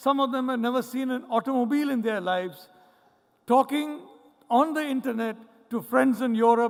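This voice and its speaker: A man's extremely high voice at a moderate pace, with ordinary pitch variation. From India, Mumbai. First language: Malayalam. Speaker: professor. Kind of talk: conference keynote speech.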